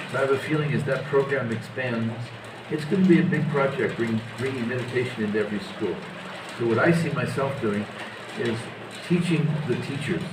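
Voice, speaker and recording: Amid noticeable background noise and audible room echo, a man with an American accent and a fairly high pitch talks fairly quickly with ordinary pitch variation, breaking often into long pauses. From USA. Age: 70s. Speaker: spiritual teacher. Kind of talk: interview.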